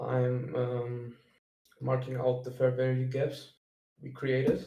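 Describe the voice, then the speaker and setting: A man with a German accent speaks very slowly in a medium pitch, his intonation monotone and flat. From Germany. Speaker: day trader sharing analysis. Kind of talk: screen-share trading walkthrough. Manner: halting, many fillers.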